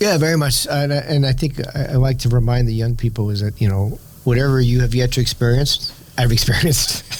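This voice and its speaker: A man's medium-pitched voice with a New York accent, fairly quick pace, ordinary pitch variation and very even loudness, amid noticeable background noise. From New York City. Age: 60s. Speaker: winery owner and Wall Street professional. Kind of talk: interview conversation.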